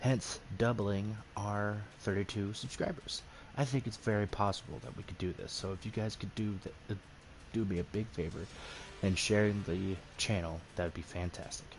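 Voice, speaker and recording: Soft-spoken and fairly low in pitch, a man speaks at a moderate pace with fairly even intonation. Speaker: gaming streamer. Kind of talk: casual gameplay commentary. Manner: quiet, soft-spoken.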